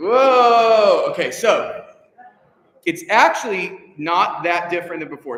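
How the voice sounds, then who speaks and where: A man speaks in an animated tone with big swings in loudness, and audible room echo surrounds him. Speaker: choir director. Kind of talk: rehearsal instruction. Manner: fast.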